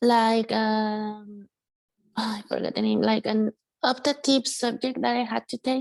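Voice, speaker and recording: A woman with a Spanish accent at a very slow pace, in a dry, close sound with no echo. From Mexico, San Luis Potosi. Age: young. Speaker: musician and producer. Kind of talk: interview testimony. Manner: halting with fillers.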